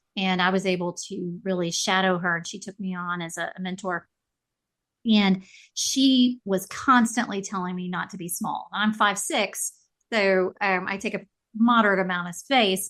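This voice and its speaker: Over a quiet background, a woman speaks at a moderate pace in an unremarkable speaking voice at medium pitch. Her intonation is fairly even, while her loudness swings widely. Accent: American. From US South. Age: 50s. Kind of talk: casual chat.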